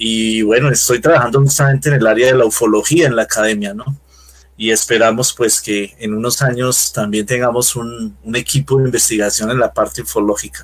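At a moderate pace, a man speaks with fairly even intonation. His pitch is medium. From Colombia, Bogotá. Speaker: UFO and spirituality researcher. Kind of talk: interview. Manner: halting, many fillers.

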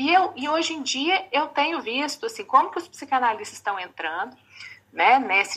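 A woman's voice is raised and projected. It has a bright, sharp tone. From Belo Horizonte, Brazil. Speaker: psychoanalyst audience participant. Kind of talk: audience question.

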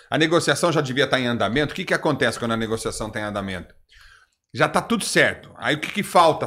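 A man talks at a very fast pace with lively intonation and vocal fry. The recording is very clean, with a silent background. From Brazil, interior São Paulo (Osvaldo Cruz). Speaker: podcast host. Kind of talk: casual chat.

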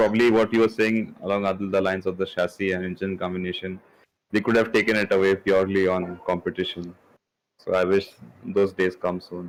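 A man with a very deep, low voice speaks at a fairly quick pace in a monotone, flat intonation. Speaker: Formula One podcast co-host. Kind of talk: casual sports discussion.

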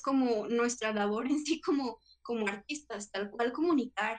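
An ordinary speaking voice with ordinary pitch variation moves along at a moderate rate. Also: woman. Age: 20s. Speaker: performing arts student and performer. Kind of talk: casual chat.

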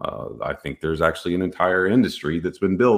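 Over a quiet background, a man with an American accent and a very deep, low pitch talks at a fairly quick pace. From Texas. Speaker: cybersecurity podcast host. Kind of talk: solo tech commentary. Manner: casual, filler-heavy.

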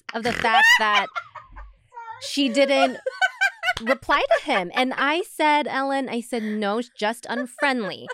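In an American accent, a woman speaks at a high pitch with lively intonation and a raised, projected voice. She goes at a very slow pace, and there is noticeable background noise. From US, Los Angeles suburbs. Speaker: podcast co-host, former news anchor. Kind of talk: casual chat.

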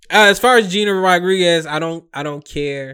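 In a very clean recording with a silent background, a man with a bright, sharp tone and fairly high pitch speaks at a fairly slow pace with lively intonation. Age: 30s. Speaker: podcast host. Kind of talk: casual chat.

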